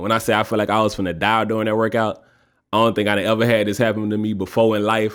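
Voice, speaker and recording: Speaking very fast with a Louisiana accent, a man with a fairly low pitch comes through on a very clean recording with a silent background. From Louisiana, north Louisiana. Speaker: podcast host. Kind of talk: casual solo podcast talk. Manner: animated.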